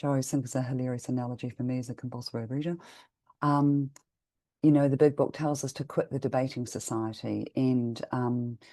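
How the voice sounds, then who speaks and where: The speech moves at a fairly quick pace with monotone, flat intonation. The background is quiet. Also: woman, very deep, low pitch for a woman. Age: 50s. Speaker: twelve-step meeting member. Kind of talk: testimony. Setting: video call. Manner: halting.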